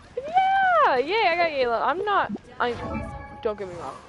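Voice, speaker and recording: The speaker talks at a fairly slow pace. Music plays in the background. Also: woman. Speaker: gaming streamer. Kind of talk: casual gaming livestream chat. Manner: loud; animated. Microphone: poor mic, close to face, breath pops.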